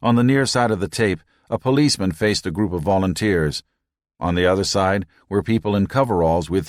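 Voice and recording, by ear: Someone is reading aloud in a natural voice, with quiet surroundings behind.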